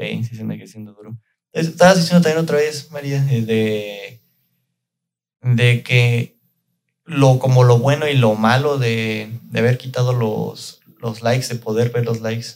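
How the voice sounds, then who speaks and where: Speaking at a fairly slow pace with a Mexican accent, a man with a medium pitch shows ordinary pitch variation and big swings in loudness. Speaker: product lead at a digital agency, podcast host. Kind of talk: casual chat.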